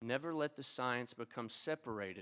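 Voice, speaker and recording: This man has an Appalachian accent and a medium pitch. He keeps a moderate pace. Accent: Appalachian twang. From Appalachia (eastern Kentucky, 606 area code). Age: old. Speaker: physician, oculoplastic surgeon and teacher. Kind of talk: ceremony speech. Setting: stage with audience at a convention center. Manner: formal.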